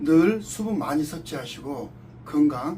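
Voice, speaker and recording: A man speaks in a fairly high pitch. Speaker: social worker and video producer. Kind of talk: appeal statement to camera.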